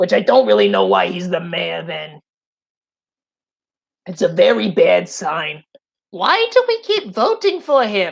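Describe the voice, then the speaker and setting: A raspy, put-on character voice moves at a fairly slow pace. Its loudness swings widely, and long pauses come often. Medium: game stream. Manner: smug, condescending.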